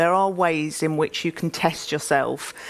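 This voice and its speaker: A woman talks with an East London accent. Her pace is moderate. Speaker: business executive. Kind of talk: panel interview on stage. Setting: conference stage.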